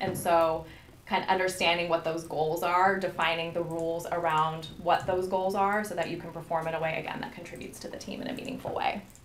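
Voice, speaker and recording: Audible room echo and noticeable background noise surround a woman who speaks fairly quickly at a fairly low pitch with fairly even intonation. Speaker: leadership workshop presenter. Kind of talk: interactive workshop presentation. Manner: fast.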